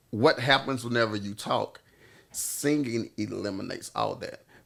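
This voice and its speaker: A man speaks at medium pitch with ordinary pitch variation. The recording is very clean, with a silent background. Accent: Southern US. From US South, Louisiana. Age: 40s. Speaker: singer-songwriter. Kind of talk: casual chat. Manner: halting.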